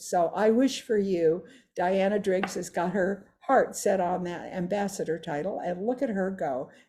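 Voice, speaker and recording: In a very clean recording with a silent background, a woman speaks very slowly at a medium pitch with a dark, mellow tone and a somewhat breathy voice. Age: 80s+. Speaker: direct sales leader. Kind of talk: testimony. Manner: animated.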